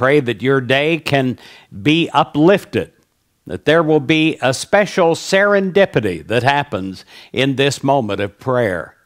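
A man speaks at a fairly slow pace in a fairly high voice with a warm tone and very wide pitch swings, against a quiet background. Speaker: prayer leader. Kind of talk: fervent prayer, spoken as an earnest blessing to the listener. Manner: earnest, warm, uplifting; measured, repetitive 'I pray' cadence. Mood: warm, smiling, uplifting. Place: studio. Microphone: headset.

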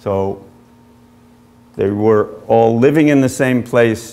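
A man's dark, mellow tone, fairly slow pace and ordinary pitch variation. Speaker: author. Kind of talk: lecture. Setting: stage with audience. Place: hall.

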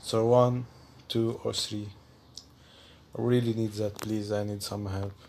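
Fairly slow, monotone and flat delivery from a man with a fairly low pitch and a non-native accent, marked by long, frequent pauses. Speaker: gaming YouTuber. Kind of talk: casual vlog to viewers. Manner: halting; giggly.

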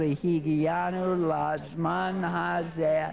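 The solemn tone comes through over light background noise. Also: man. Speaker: rabbi. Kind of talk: fervent prayer and blessing before a congregation. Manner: solemn, earnest, rising to an emphatic, heartfelt tone; measured, with deliberate repetition for emphasis. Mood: warm, solemn. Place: hall.

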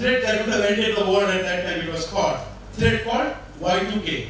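Strong room echo surrounds a man speaking at a fairly slow pace. His pitch is high, with light background noise behind him. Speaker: conference speaker. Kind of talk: lecture. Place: hall.

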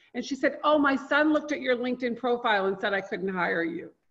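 Talking at a very fast pace, a woman has a high pitch. Her intonation is lively. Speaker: LinkedIn marketing consultant. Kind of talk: live online training. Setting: video call.

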